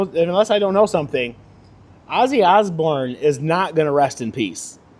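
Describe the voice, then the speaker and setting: Loud and lively in intonation, a man speaks with a high pitch. His pace is moderate. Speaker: podcast host. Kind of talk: casual monologue. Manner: animated.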